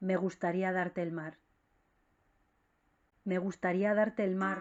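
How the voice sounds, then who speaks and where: Background music fills the recording. Over it, a woman talks at a medium pitch. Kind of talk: poetry reading.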